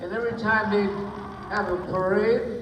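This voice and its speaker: Over noticeable background noise, a man with a high voice speaks with an American accent. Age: 80s+. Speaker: war veteran. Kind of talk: interview answer.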